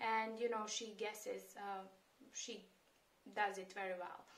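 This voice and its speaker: Someone with a Serbian accent talks at a fairly slow pace, with audible room echo around the voice. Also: woman. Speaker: immigration and job-search advisor. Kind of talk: tutorial. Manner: hesitant, many fillers.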